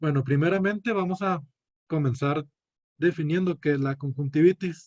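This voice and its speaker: Recorded with a dry, close sound and no echo, a man talks at a fairly high pitch with ordinary pitch variation. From northern Mexico, Chihuahua (Cuauhtémoc). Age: 20s. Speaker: medical student. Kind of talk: student class presentation; self-introduction. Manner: hesitant, many fillers.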